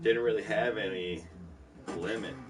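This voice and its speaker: Amid noticeable background noise and audible room echo, a man with an American accent speaks very slowly at a fairly low pitch. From Detroit, US Midwest. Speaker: gaming livestreamer. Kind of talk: casual chat.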